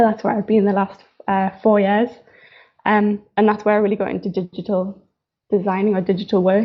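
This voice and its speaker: A woman's medium-pitched voice with a strong Newcastle accent, a fairly quick pace, and monotone, flat intonation. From northeast England, Newcastle. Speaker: fashion designer. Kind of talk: live stream talk. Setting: live stream. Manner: casual, hesitant with fillers.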